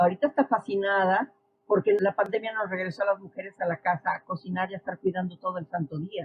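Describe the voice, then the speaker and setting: A woman talks at a fairly quick pace. Her medium-pitched voice is somewhat breathy. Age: 60s. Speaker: social science expert. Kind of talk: podcast interview.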